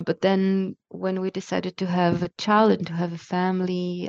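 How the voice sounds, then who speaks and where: A woman speaks at a moderate pace. The sound is dry and close with no echo, over a quiet background. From Israel. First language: Hebrew. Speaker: podcast guest. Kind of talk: casual interview. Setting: remote call.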